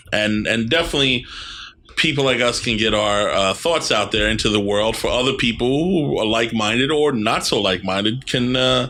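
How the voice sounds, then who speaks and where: A man with a New York accent, medium in pitch, at a fairly quick pace with very even loudness, ordinary pitch variation and noticeable background noise. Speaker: podcast host. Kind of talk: casual chat.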